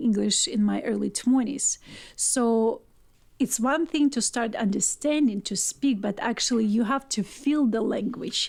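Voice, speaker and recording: A woman with a Russian accent speaks at a fairly slow pace and a fairly high pitch, with ordinary pitch variation. The recording is very clean, with a silent background. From Ukraine and Russia. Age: 40s. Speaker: poet. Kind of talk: casual chat.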